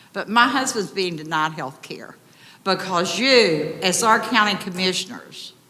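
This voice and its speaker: The speaker has an Appalachian accent and lively intonation at a fairly slow pace. Loudness swings widely, and background noise is noticeable. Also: woman, medium pitch for a woman. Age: 70s. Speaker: resident speaking at public comment. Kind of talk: public comment at county meeting. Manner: emotional.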